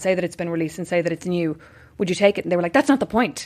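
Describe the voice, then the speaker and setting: A woman with an Irish accent and ordinary pitch variation on a very clean recording with a silent background. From Ireland. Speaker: podcast host. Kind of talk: casual interview. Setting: in-person recording.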